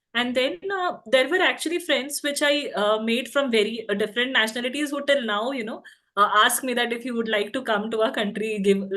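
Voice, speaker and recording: A bright, sharp tone at a fairly quick pace, with ordinary pitch variation and hardly any pauses. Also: woman, high pitch for a woman. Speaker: alumni panelist. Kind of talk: webinar panel discussion. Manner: hesitant, many fillers.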